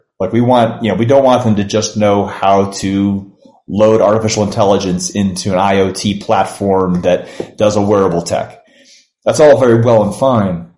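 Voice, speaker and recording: A man speaks at a moderate pace with a fairly low pitch and fairly even intonation. He has an ordinary speaking voice. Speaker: university provost. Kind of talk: interview.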